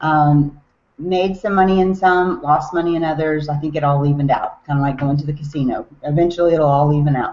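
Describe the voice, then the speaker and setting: Her voice very deep and low, a woman with a Southern US accent talks at a fairly quick pace with ordinary pitch variation. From US South, Tennessee. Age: 40s. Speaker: network marketing distributor. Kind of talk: online webinar talk.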